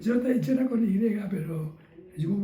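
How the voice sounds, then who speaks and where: A man with a high voice speaks at a moderate pace, and room echo can be heard. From Chile, Talca then Santiago. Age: 80s+. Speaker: veteran bandleader and musician. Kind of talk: interview testimony. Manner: halting, repetitive.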